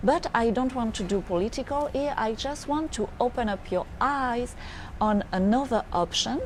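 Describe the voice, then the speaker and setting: A woman speaks with a French accent. Her pitch is high and her pace moderate. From France. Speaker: futurist business advisor. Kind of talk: monologue to camera. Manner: halting, frequent hesitations.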